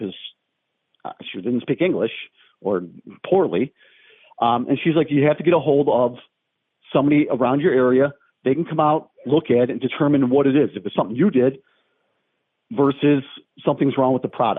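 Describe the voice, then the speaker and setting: A man talks at a fairly quick pace. His speech has long, frequent pauses. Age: 60s. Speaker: prank call victim, collision repair teacher. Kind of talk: phone call complaint. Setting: phone call.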